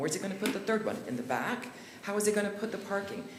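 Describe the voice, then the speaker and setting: A woman at medium pitch is heard in audible room echo over noticeable background noise. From Utah, Kaysville. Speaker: member of the public commenting. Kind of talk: public comment at city meeting. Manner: fast.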